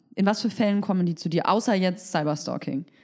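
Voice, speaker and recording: A woman in a normal speaking voice, with lively intonation at a fairly quick pace. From Berlin, Germany. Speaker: podcast host. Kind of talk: casual interview.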